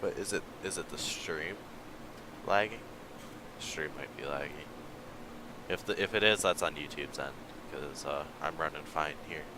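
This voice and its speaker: A man speaks at a moderate pace in a very deep, low pitch with ordinary pitch variation. Long, frequent pauses break up his speech. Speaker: gaming livestreamer. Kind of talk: casual livestream commentary. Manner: casual, hesitant with fillers.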